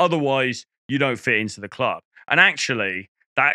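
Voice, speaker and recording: A man with a British accent and a bright, sharp tone shows ordinary pitch variation in a dry, close sound with no echo, on a very clean recording with a silent background. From England. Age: middle-aged. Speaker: dating coach. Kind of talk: casual monologue to camera. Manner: conversational, many fillers and restarts.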